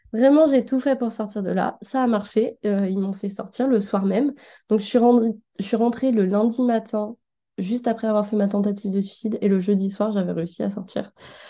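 Over a quiet background, a woman with a fairly high pitch and a dark, mellow tone speaks at a moderate pace, somewhat breathy, with fairly even intonation. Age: 20s. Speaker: design student sharing her experience. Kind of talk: personal testimony.

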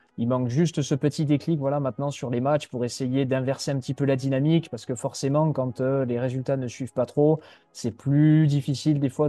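Over music in the background, the speaker moves at a fairly quick pace with monotone, flat intonation. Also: man. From Landes, southwest France (Mont-de-Marsan). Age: 20s. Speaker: youth football coach. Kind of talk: interview. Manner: hesitant, word repetitions.

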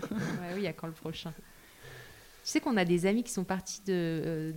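In an ordinary speaking voice, a woman talks at a fairly slow pace at medium pitch with ordinary pitch variation. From Paris, France. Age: 30s. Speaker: interior architect. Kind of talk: casual interview.

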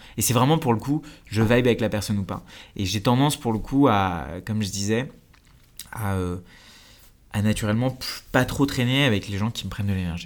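Long, frequent pauses mark this man's fairly low-pitched speech, which has ordinary pitch variation. The recording is very clean, with a silent background. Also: fairly quick pace. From India, then Paris suburbs (France). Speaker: entrepreneur and YouTube creator. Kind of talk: interview conversation.

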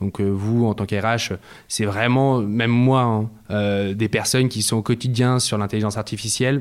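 A man with an unremarkable speaking voice and a fairly low pitch talks at a moderate pace. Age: 20s. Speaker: startup co-founder. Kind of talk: interview. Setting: office.

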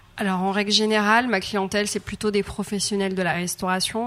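The woman speaks at a moderate pace with a medium pitch. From Madagascar. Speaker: chef and cooking trainer. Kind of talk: interview. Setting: on a ship. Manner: hesitant, many fillers.

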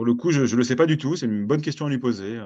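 A man's voice shows ordinary pitch variation against a quiet background. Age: 30s. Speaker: comics critic and librarian. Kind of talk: interview. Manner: hesitant, many fillers.

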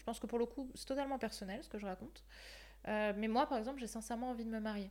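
Fairly high-pitched female speech, ordinary in its pitch variation. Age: 20s. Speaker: life coach. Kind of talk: casual chat.

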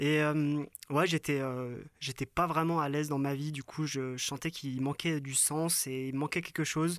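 In a very clean recording with a silent background and a dry, close sound with no echo, a man speaks at a fairly slow pace in a fairly high voice with monotone, flat intonation. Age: 30s. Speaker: photographer. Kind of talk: casual chat. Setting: in a yurt.

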